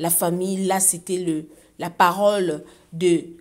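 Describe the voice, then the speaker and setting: Very slowly, a woman speaks in a Congolese accent at a fairly low pitch. The recording is very clean, with a silent background. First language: Lingala (speaking French). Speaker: online gossip and news commentator. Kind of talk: casual commentary reading social media comments.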